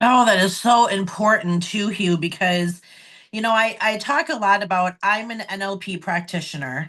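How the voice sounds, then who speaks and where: A woman speaks in a normal speaking voice with an American accent. Her pitch is medium with ordinary variation, and her pace is moderate. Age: 40s. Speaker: podcast host, NLP practitioner. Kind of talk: interview conversation.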